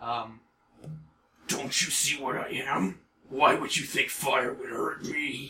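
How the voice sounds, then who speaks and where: Someone speaks very slowly in a put-on character voice. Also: man, medium pitch for a man. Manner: mocking, menacing.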